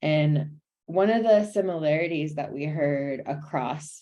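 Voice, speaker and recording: The voice moves at a very slow pace, dark and mellow in tone, with ordinary pitch variation. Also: woman. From US Pacific Northwest, South King County, Washington. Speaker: domestic violence prevention presenter. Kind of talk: webinar presentation.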